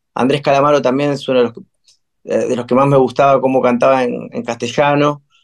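A man's medium-pitched, monotone voice with flat intonation, a fairly quick pace and a Rioplatense accent. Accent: Rioplatense Spanish (porteño). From Buenos Aires, Argentina. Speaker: musician, band singer. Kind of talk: interview conversation. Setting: home recording room, remote. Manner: hesitant, many fillers.

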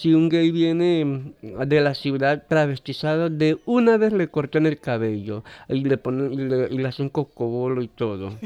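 With a dark, mellow tone and lively intonation, a man talks at a fairly slow pace in a dry, close sound with no echo. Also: fairly high pitch for a man. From Kuna Yala, Panama. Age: 30s. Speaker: interviewee. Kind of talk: interview.

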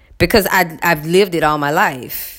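A woman speaks at a fairly low pitch. Her pace is fairly slow, with ordinary pitch variation. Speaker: podcaster. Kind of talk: casual monologue.

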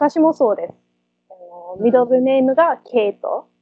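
A woman speaks at a fairly slow pace in a high voice, her pitch swinging very widely. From Perth, Western Australia. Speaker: municipal translator and interpreter. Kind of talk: casual interview. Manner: halting.

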